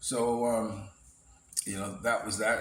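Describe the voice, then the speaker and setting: A man with an American accent at a medium pitch, with audible room echo and noticeable background noise. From United States. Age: 60s. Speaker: vlogger. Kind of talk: casual vlog monologue. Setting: filmed by camera person. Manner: halting, many fillers.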